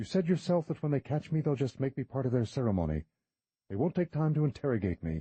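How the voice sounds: The voice is a natural reading voice. Behind it, all is quiet.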